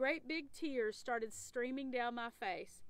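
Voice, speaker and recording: The speaker is a woman, talking at a moderate speed. There's no echo, and the sound is dry. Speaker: storyteller reading a children's book. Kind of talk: read-aloud storytelling. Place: waterside.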